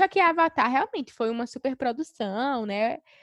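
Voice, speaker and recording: In an ordinary speaking voice, a woman talks at a moderate pace with lively intonation, the sound dry and close with no echo and a quiet background. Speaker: podcast co-host. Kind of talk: casual chat.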